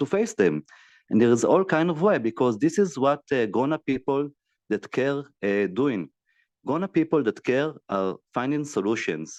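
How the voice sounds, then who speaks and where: A man with an Israeli accent speaks with very wide swings in pitch. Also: fairly high pitch for a man, moderate pace, dry, close sound with no echo, quiet background. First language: Hebrew. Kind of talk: video call discussion. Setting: video call. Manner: halting.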